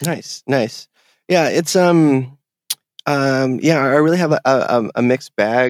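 A man with a fairly high pitch talks at a very slow pace with very even loudness and ordinary pitch variation, in a dry, close sound with no echo. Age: 30s. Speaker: video game podcast guest. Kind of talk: casual chat. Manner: halting, many fillers and repeats.

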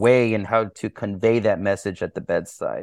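In an American accent, a man talks at a moderate pace with fairly even intonation in an unremarkable speaking voice, with a dry, close sound with no echo and a quiet background. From Texas, Houston. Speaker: doctor and writer. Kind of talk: interview conversation.

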